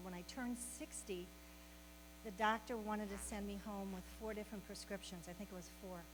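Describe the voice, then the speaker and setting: The speaker talks at a fairly quick pace over noticeable background noise. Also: woman. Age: 70s. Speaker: health program facilitator. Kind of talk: welcome talk and introduction. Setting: meeting room with audience.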